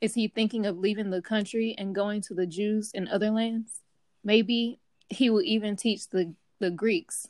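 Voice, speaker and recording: In a very clean recording with a silent background, a woman with an unremarkable speaking voice speaks at a fairly high pitch and moderate pace with fairly even intonation. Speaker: co-host bible study participant. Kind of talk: bible study discussion.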